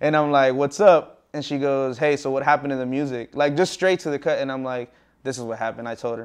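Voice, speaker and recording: Here a man with a fairly high pitch talks at a very fast pace, his intonation fairly even. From Texas, San Antonio (born in Laredo). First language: Spanish. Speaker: musician. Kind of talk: interview.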